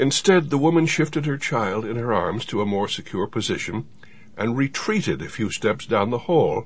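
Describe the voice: Someone reads aloud plainly, with a lively, bouncing intonation.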